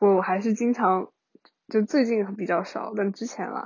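The intonation stays fairly even. This woman's voice carries a somewhat breathy quality. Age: 20s. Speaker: university student keeping an audio diary. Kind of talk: casual solo monologue. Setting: lying in bed at home. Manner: rambling, stream of consciousness.

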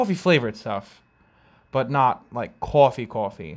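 In a very clean recording with a silent background, a man with an American accent speaks at a medium pitch, with vocal fry and lively intonation. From New York, Long Island. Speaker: podcast host, coffee industry worker. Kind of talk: casual solo podcast monologue.

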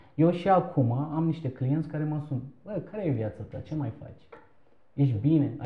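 A man speaks in a somewhat breathy voice. His loudness swings widely. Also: fairly high pitch for a man, ordinary pitch variation, moderate pace. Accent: Turkish. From Turkey, Istanbul. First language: Turkish (speaking Romanian). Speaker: entrepreneur, shop owner. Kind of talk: interview.

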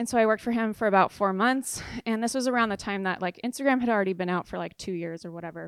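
A woman's medium-pitched voice in a Californian accent, very fast with hardly any pauses and ordinary pitch variation, on a very clean recording with a silent background. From southern California, San Clemente. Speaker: artist and business owner. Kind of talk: interview.

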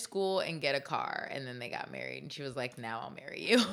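Noticeable background noise beneath a woman's speech full of very wide pitch swings. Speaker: podcast host. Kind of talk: casual chat. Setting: video call.

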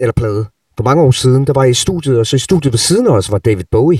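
Very fast and somewhat breathy, a man's dark, mellow tone comes through in a dry, close sound with no echo. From Denmark, Sønderborg, Southern Jutland. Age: 40s. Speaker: rock guitarist. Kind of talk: masterclass talk to students.

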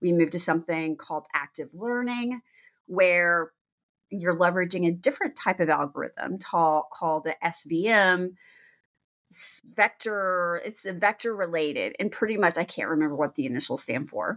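A woman's fairly low voice with a Texan accent and lively intonation. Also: moderate pace, very clean recording, silent background. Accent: Texan American. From Texas, small town. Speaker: attorney and podcast host. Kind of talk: solo podcast monologue.

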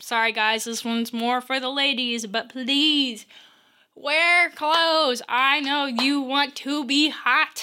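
A woman's raised, projected voice, high-pitched with a bright, sharp tone, at a very slow pace with ordinary pitch variation, in a very clean recording with a silent background. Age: 20s. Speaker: podcast host, college student. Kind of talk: solo advice podcast. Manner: casual.

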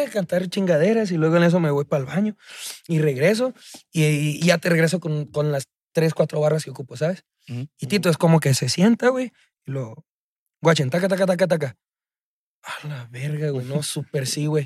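At a moderate pace, a man talks in a plain, everyday voice with a fairly high pitch, ordinary pitch variation and a dry, close sound with no echo. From Mexico, Chihuahua. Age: 20s. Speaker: singer-songwriter. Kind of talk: casual chat.

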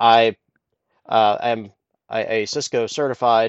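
With an American accent, a man talks at a medium pitch and with fairly even intonation. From US Midwest, Columbus, Ohio. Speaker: podcast host, IT engineer. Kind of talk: solo podcast monologue. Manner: halting, frequent fillers.

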